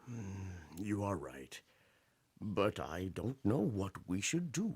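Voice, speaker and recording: Putting on a character voice, a man speaks fairly slowly with a fairly low pitch and lively intonation. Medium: stage play.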